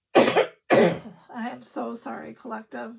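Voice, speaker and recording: Her intonation is lively, and this woman's voice carries vocal fry. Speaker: tarot reader. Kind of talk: tarot reading to camera. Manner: casual, swears a bit.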